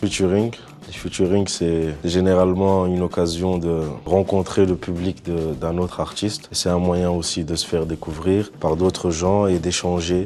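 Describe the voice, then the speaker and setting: A man's very deep, low voice in a flat monotone at a moderate pace, with noticeable background noise. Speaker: rapper. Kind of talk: interview answers.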